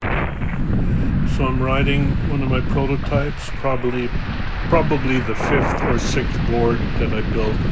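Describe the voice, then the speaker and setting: Delivery here is fairly slow. Behind the voice sits noticeable background noise. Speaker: kitesurfer and board builder. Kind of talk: voiceover commentary on own sports video. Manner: soft-spoken.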